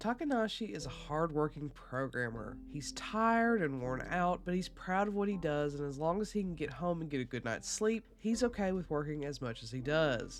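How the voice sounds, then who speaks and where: With a very deep, low pitch for a woman, she talks at a moderate pace with very wide pitch swings and hardly any pauses. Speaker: book reviewer and author. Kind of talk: review vlog; plot synopsis narration.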